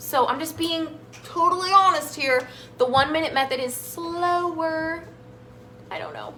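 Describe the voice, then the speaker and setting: A woman's raised, projected voice, high-pitched and animated, over noticeable background noise. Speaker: health coach and cooking show host. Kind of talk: live cooking demonstration.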